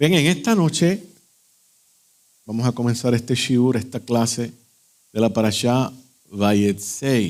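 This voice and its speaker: A man talks at a very slow pace with long, frequent pauses. His pitch is medium and his intonation lively. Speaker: Messianic Torah teacher. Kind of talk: religious lecture. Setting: live-streamed evening class. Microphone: echo, too loud.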